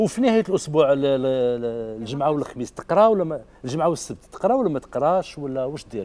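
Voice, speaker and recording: An animated man with an Algerian accent talks with lively intonation and hardly any pauses. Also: moderate pace. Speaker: TV show host. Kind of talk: TV parenting show hosting. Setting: studio with audience. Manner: animated, code-switching Arabic and French. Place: studio.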